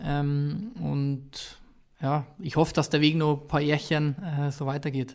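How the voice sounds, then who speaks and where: In a very clean recording with a silent background, a man speaks very slowly at a fairly high pitch with fairly even intonation. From Bavaria, Ingolstadt area. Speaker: former professional footballer, youth football coach. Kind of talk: casual interview.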